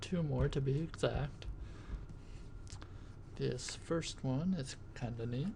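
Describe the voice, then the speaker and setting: Soft-spoken, a man talks at a very slow pace. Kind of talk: ASMR show-and-tell, tapping.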